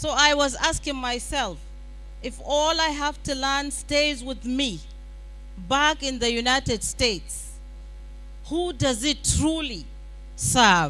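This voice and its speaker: Over noticeable background noise and audible room echo, a woman projects a raised, high-pitched voice with ordinary pitch variation, speaking very slowly with long, frequent pauses. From Nigeria, Katsina. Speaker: summit speaker, women's advocate. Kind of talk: conference speech.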